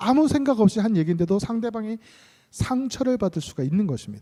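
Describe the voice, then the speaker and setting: Dark and mellow in tone, the voice moves at a fairly quick pace with very wide pitch swings. The sound is dry and close, with no echo. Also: man. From South Korea, Gyeongsang region. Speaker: pastor. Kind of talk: sermon. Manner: blunt, sometimes heard as scolding.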